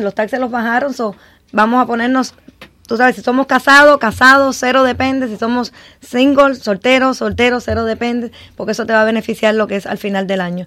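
With a normal speaking voice, a woman talks at a fairly quick pace, fairly high in pitch and with fairly even intonation. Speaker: tax preparer. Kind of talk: radio panel discussion.

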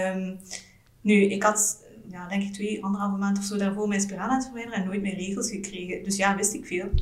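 Monotone, flat intonation from a medium-pitched woman at a fairly quick pace, with audible room echo and noticeable background noise. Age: 30s. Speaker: general practitioner, mother. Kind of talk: casual interview, personal birth story. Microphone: poor sound quality in recording.

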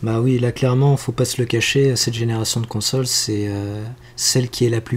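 A man with a somewhat breathy, medium-pitched voice speaks at a moderate pace in a monotone, flat intonation. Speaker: podcast co-host. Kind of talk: casual chat.

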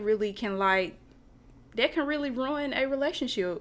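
A woman speaks in a Southern US accent. Her intonation is lively and her pace moderate. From US South, Lancaster, South Carolina. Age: 20s. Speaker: podcast guest. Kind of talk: casual chat.

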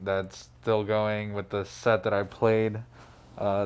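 The man speaks with an American accent at a very slow pace. His voice sits fairly low, delivered in a flat monotone. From Phoenix, Arizona. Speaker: DJ and music producer. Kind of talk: casual interview chat. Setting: studio.

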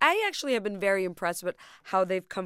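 A woman with an American accent, dry and close with no echo, on a very clean recording with a silent background. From Bangladesh, Dhaka. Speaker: co-host, blogger. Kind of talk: casual chat. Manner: animated.

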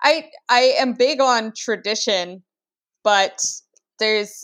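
Recorded very cleanly with a silent background, a woman with an ordinary speaking voice talks at a fairly high pitch with ordinary pitch variation. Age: 20s. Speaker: writer and indie publisher. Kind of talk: casual chat.

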